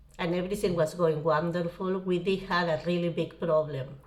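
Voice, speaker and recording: This woman speaks with a strong Spanish accent. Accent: thick Spanish. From Uruguay. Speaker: travel vlogger. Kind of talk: personal storytelling. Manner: casual.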